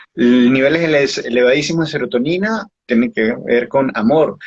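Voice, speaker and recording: In an unremarkable speaking voice, a man of medium pitch speaks at a moderate pace with lively intonation. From Uruguay, Montevideo. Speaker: author and biodecoding therapist. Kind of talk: interview.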